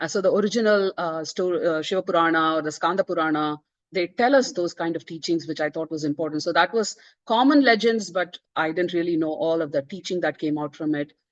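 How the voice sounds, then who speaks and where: This woman's pitch sits fairly low, with ordinary variation and a fairly quick pace. The sound is dry and close with no echo, over a quiet background. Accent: Tamil. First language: Tamil. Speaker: author. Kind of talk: book presentation talk. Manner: hesitant, many fillers.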